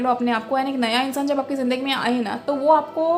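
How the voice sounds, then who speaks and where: A woman rushes along at a very fast pace in a high pitch. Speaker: tarot reader. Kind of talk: tarot reading monologue. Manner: hesitant fillers, Hindi-English mixing.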